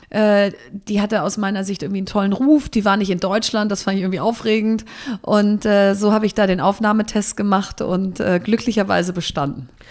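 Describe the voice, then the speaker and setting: A woman with an unremarkable speaking voice talks at a fairly quick pace. Her pitch is medium and her intonation fairly even. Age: 30s. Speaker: entrepreneur and company founder. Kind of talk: interview. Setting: in person in Berlin.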